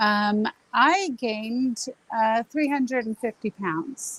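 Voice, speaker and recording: Here a woman with an American accent speaks at a very slow pace. Her voice sits fairly high, and her intonation is lively. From Southern California. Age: 60s. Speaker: diet client sharing success story. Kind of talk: interview.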